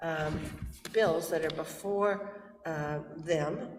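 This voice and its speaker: Audible room echo around a woman's voice, fairly low in pitch. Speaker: historic district commission member. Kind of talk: public meeting discussion. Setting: town hall meeting. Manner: hesitant, with fillers.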